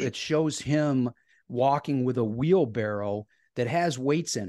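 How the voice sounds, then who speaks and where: A man with an American accent speaks at a fairly slow pace in a medium pitch, his tone dark and mellow with ordinary pitch variation. The sound is dry and close with no echo, and the background is quiet. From US Midwest, Northeast Ohio (Cleveland area). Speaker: retired educator and author. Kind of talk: interview.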